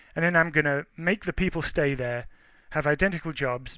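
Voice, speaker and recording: Speaking fairly quickly with an English accent, a man uses a bright, sharp tone and ordinary pitch variation. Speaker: research forester. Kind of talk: webinar lecture. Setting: webinar. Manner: conversational, with hesitations.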